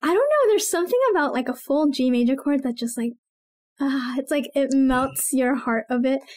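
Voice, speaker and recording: Against a quiet background, a woman with a high voice speaks at a moderate pace. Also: ordinary pitch variation. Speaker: podcast co-host. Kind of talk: casual podcast Q&A chat. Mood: warm, laughing. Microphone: studio mic.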